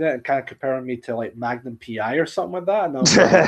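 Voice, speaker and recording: A man with a Scottish accent talks very fast at a medium pitch with ordinary pitch variation. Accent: soft Scottish. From Scotland, central belt. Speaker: streamer. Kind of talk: casual chat. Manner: halting, repeats words.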